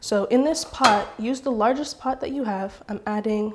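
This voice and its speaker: Her voice sits fairly high, with ordinary pitch variation. The woman speaks with an American accent. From California (Oakland). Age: young. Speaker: baker, cooking tutorial host. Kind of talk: tutorial.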